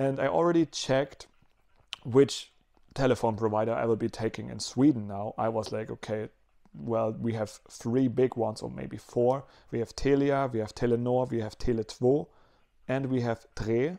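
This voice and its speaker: Against a quiet background, a man with a dark, mellow tone speaks at a moderate pace with ordinary pitch variation. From Germany. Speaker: vlogger. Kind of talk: casual video diary. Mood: relaxed, upbeat.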